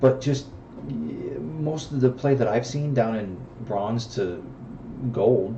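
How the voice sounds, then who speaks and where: Audible room echo surrounds a man speaking fairly slowly in a medium pitch with ordinary pitch variation. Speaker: gaming YouTuber. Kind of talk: gameplay commentary. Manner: casual with frequent fillers.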